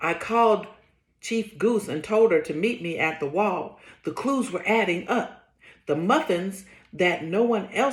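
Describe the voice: The speaker is doing plain reading aloud. The text is read out plainly.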